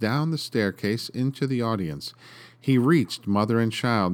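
Ordinary pitch variation shapes this plain reading aloud.

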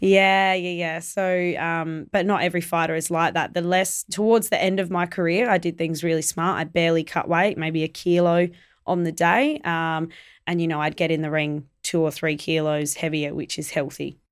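A woman speaks with an Australian accent, fairly low in pitch and with fairly even intonation. The recording is very clean, with a silent background. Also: moderate pace. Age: 20s. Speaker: Muay Thai fighter and promoter. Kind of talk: casual interview chat.

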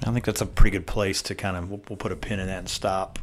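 A man's very deep, low voice with a Southern US accent. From US South. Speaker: podcast host. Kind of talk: casual podcast interview.

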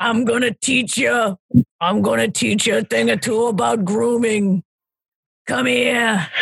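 Doing a put-on character voice, a woman speaks at a very slow pace with very wide pitch swings in a dry, close sound with no echo. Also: medium pitch for a woman.

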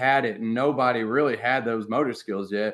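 An unremarkable speaking voice with an American accent and ordinary pitch variation. It moves at a moderate pace over a quiet background. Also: man. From US South (Arkansas). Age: 20s. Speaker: teacher. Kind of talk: casual chat.

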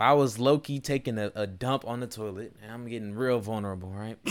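A plain, everyday voice is heard here. Pitch variation is ordinary, and the recording is very clean against a silent background. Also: man. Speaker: podcast host. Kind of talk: casual chat.

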